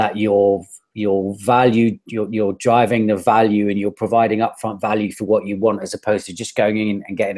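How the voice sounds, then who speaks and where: A man with a British accent at fairly low pitch, fairly quick in pace, with monotone, flat intonation over a quiet background. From United Kingdom. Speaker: digital marketer and life coach. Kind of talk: interview answer. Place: home room. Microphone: earbuds.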